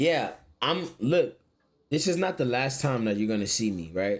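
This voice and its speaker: An American man speaks at a moderate pace with a medium-pitched voice. His intonation is lively. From Florida, US. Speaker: streamer. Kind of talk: casual chat.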